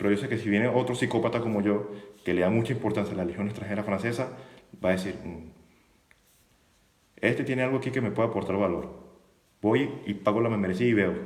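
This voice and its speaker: Amid audible room echo, a man with a fairly low pitch and fairly even intonation talks very fast yet leaves long, frequent pauses. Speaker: YouTuber on the French Foreign Legion, former legionnaire. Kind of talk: live stream monologue.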